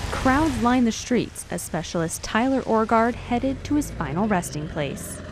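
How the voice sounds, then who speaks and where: Over music in the background, a woman with a fairly high pitch speaks at a moderate pace with hardly any pauses and very wide pitch swings. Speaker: TV reporter and anchor. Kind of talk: TV news reporter voiceover.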